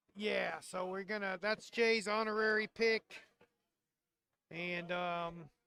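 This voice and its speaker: Projected and raised, a man's high voice has a bright, sharp tone and a flat, monotone intonation. He talks very slowly with long, frequent pauses. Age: 60s. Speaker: bowling shop owner and league organizer. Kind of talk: live stream chat.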